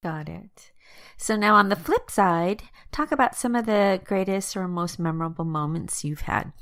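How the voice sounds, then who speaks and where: A woman speaks in a plain, everyday voice at a medium pitch. Her intonation is lively and her pace moderate. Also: big swings in loudness. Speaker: podcast host. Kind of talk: podcast intro and interview questions.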